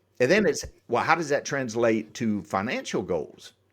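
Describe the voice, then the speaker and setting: A man of medium pitch with a slight Southern US accent at a fairly quick pace, in a very clean recording with a silent background. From US South, Atlanta Georgia area. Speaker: exit planning advisor. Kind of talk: podcast interview.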